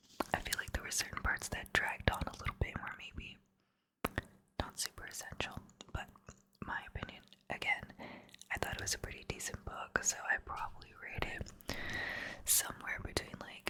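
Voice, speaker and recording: Whispering in a relaxed tone, the speaker leaves long, frequent pauses. Noticeable background noise runs underneath. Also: moderate pace. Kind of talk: whispered ASMR ramble about books, casual talk to camera. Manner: whispered, soft, relaxed, rambling.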